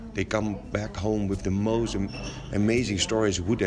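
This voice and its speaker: A man talks at a moderate pace with fairly even intonation, heard through audible room echo and noticeable background noise. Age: 40s. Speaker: education founder and teacher. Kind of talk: interview. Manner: halting.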